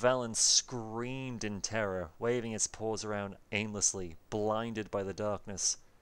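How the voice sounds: Intonation remains fairly even throughout this natural reading voice.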